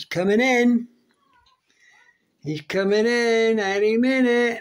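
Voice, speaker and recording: The background is quiet. The speaking pace is very slow. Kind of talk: casual talk to pets. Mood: playful, fond. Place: home room. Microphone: phone near.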